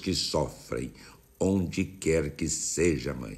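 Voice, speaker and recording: Very slowly, a man speaks in a solemn tone with vocal fry and very wide pitch swings. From Brazil. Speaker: bishop leading morning prayer. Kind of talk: fervent prayer. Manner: earnest, devout, pleading; slow, solemn, rhythmic cadence. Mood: warm, smiling, devotional. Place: home room. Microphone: phone near.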